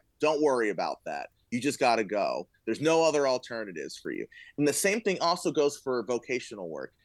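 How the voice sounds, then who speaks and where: A man with a fairly high pitch and an American accent speaks in an animated tone at a moderate pace with ordinary pitch variation. The sound is dry and close with no echo. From Florida. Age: 30s. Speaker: musician and high school teacher. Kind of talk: casual chat.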